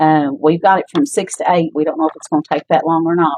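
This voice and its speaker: Speaking at a fairly quick pace in an Appalachian accent, a woman has a fairly low pitch and a dry, close sound with no echo. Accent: Appalachian US Southern. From Kentucky, Middlesboro. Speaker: volleyball coach and teacher. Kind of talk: casual interview. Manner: loud.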